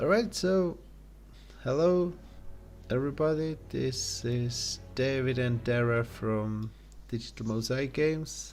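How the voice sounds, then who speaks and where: Very slow male speech at medium pitch with ordinary pitch variation, long frequent pauses, and music in the background. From Czech Republic. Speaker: game developer. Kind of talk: casual chat. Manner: halting.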